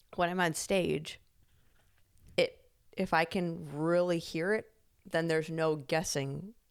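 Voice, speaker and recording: On a very clean recording with a silent background, a woman speaks in an animated tone at a very deep, low pitch. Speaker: podcast co-host. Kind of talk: casual chat. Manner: loud.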